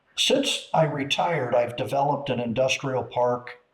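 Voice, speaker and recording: Speaking with an American accent at a fairly slow pace, a man has a medium pitch, a somewhat breathy quality and ordinary pitch variation. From US Midwest, Chicago area. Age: 60s. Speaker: retired businessman and car enthusiast. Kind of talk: casual chat. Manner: halting.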